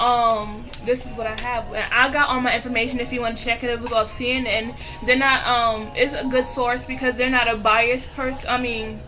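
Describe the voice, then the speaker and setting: Over music in the background and with audible room echo, a woman talks at a fairly quick pace in a high pitch with monotone, flat intonation. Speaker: video blogger. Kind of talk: casual commentary. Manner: fast.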